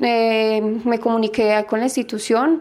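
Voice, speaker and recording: Fairly high in pitch, a woman with an ordinary speaking voice keeps a fairly even intonation. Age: 30s. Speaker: patient. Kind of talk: testimony.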